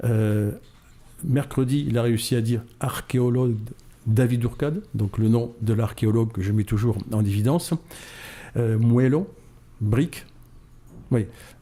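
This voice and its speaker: A man with a dark, mellow, somewhat breathy voice speaks at a medium pitch and a fairly slow pace, with ordinary pitch variation and long, frequent pauses. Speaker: model maker, association founder. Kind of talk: radio interview. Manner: animated.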